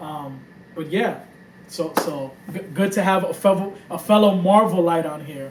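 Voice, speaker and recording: A man with a New York accent speaks at a high pitch, with ordinary pitch variation and big swings in loudness. Audible room echo and noticeable background noise are in the recording. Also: moderate pace. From New York, the Bronx. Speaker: podcast host. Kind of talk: casual chat. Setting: home room.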